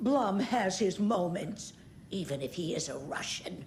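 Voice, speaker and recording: A woman growls in a put-on character voice at a medium pitch, her intonation lively and her pace moderate, with clear background noise. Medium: video game. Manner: tart, gossipy.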